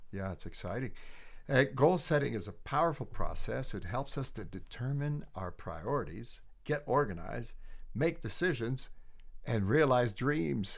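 With vocal fry and lively intonation, a man at a medium pitch speaks at a moderate pace. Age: 60s. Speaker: leadership trainer and coach. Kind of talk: casual chat. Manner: halting, many fillers and repetitions.

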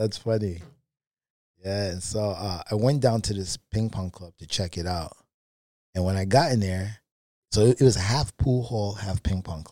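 Pausing long and often, a man with a New York accent talks at a moderate pace in a fairly low, dark, mellow voice with ordinary pitch variation and big swings in loudness, on a very clean recording with a silent background. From Brooklyn, New York. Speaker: table tennis player and coach. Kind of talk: casual interview storytelling.

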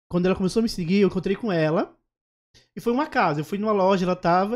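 A man's high-pitched voice at a very fast pace, with ordinary pitch variation. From Alagoas, Northeast Brazil. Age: 30s. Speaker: comedian and social media influencer. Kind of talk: casual interview chat.

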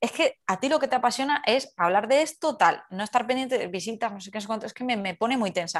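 A woman with an ordinary speaking voice talks at a fairly quick pace with hardly any pauses. Her pitch is fairly high, her intonation lively, and her loudness swings widely. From Andalusia, Spain (Carmona). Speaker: youtuber and content creator. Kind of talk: casual interview.

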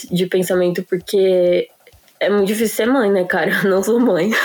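Over noticeable background noise, a woman with a medium-pitched voice talks at a fairly quick pace in a flat monotone. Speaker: podcast co-host. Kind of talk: casual chat.

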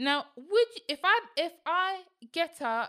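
A woman speaks in a raised, projected voice with a bright, sharp tone. The recording is very clean, with a silent background. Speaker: podcast co-host. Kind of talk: casual chat, debate.

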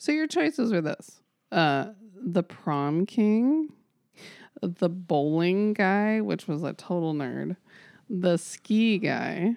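A woman speaks at a very slow pace with medium pitch and lively intonation. The sound is dry and close with no echo, against a quiet background. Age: 40s. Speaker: podcast co-host. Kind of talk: casual chat.

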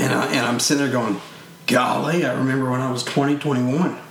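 With a Louisiana accent, a man speaks at a medium pitch and a moderate pace, his intonation fairly even. Long, frequent pauses, noticeable background noise and audible room echo fill the clip. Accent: Southern US (Louisiana). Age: 30s. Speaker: parent and camp hunting instructor. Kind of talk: casual chat.

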